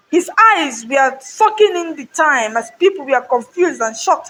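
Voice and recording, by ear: A woman's voice with a slightly husky edge and lively intonation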